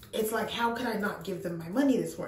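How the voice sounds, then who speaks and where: A woman talks at a very fast pace with ordinary pitch variation, and audible room echo surrounds her voice. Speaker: lifestyle vlogger. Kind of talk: casual vlog chat. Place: bathroom. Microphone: phone near.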